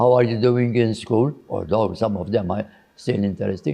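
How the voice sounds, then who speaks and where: Over a quiet background, a man of medium pitch speaks in a dark, mellow tone with ordinary pitch variation. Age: 80s+. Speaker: religious brother and educator. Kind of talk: interview answer.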